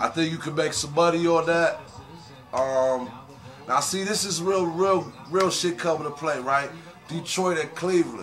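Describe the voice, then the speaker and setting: A man speaks at a moderate pace with a high pitch and ordinary pitch variation. Noticeable background noise and audible room echo fill the recording. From West Virginia. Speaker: rapper and sports gambler. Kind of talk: casual vlog monologue. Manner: animated.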